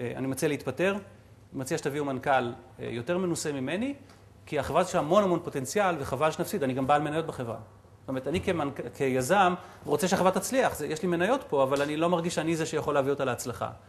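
Somewhat breathy, a man talks at a very fast pace. His pitch is fairly high, with ordinary pitch variation. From Israel. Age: 40s. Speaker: entrepreneur and guest lecturer; guest lecturer. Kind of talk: lecture. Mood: reflective storytelling. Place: hall. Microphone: lapel.

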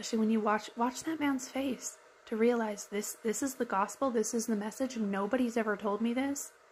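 A woman's fairly high voice at a fairly quick pace, fairly even intonation and very even loudness, over light background noise. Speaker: YouTube commentator. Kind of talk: reaction commentary, sermon-like. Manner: earnest, reflective. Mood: earnest, soft, heartfelt. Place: home room. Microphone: phone near.

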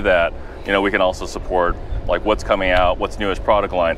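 A man talks over light background noise, the sound dry with no echo. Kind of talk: interview answer. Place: street. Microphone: lapel.

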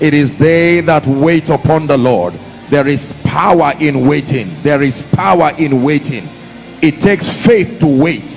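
Light background noise sits behind the recording. A man speaks at a fairly slow pace. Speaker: preacher. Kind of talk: sermon. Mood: soft, prayerful, meditative. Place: church. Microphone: handheld.

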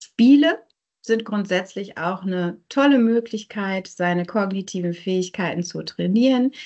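A woman talks at a fairly slow pace with ordinary pitch variation, and the background stays quiet. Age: 30s. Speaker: neuropsychologist; presenter. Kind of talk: lecture. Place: home room. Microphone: video call.

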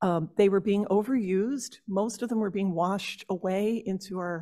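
A woman's dark, mellow voice with an American accent, fairly slow and fairly even in intonation, against a quiet background. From New Jersey. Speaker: horticulturist and master gardener. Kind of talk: workshop presentation. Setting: stage with audience. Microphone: podium.

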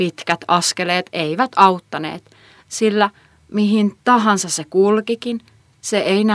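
The passage is read out plainly. It is plain reading aloud.

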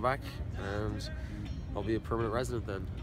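Over clear music in the background, a man with an Irish accent speaks in a dry sound with no echo. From Dublin, Ireland. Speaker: carpenter. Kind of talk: interview answer. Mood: relaxed, friendly. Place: garden. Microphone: phone near.

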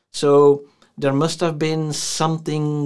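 A man is speaking. The background is quiet. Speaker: tech youtuber. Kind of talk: casual vlog review. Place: home room.

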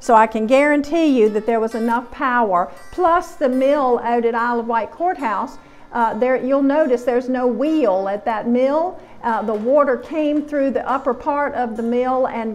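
Faint music in the background accompanies a woman speaking at a high pitch with ordinary pitch variation. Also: moderate pace. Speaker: museum lecturer. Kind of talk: lecture. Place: hall. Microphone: lapel.

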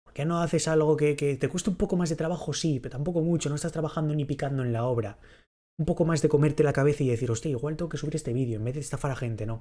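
This man speaks very fast in a fairly high, somewhat breathy voice with a dark, mellow tone and ordinary pitch variation. The background is quiet. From Spain. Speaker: streamer. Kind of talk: livestream reaction chat. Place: home room.

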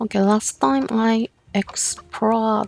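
Over background music, a woman with a non-native accent speaks very slowly in a dry, close sound with no echo. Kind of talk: casual gameplay commentary. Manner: nervous, excitable.

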